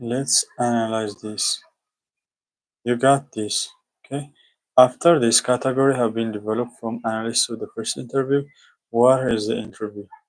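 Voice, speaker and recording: Delivered at a moderate pace with long, frequent pauses, the flat, monotone speech carries a non-native accent on a very clean recording with a silent background. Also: man, medium pitch for a man. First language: not English. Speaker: student streamer. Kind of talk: study-with-me livestream, reading aloud and explaining. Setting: live stream with screen share. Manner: casual, halting.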